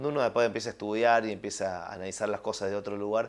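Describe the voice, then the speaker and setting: Recorded very cleanly against a silent background, a man with a fairly low pitch speaks with fairly even intonation. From Argentina, Córdoba province (Villa María). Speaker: film and television director. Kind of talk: interview. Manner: hesitant, many fillers and repetitions.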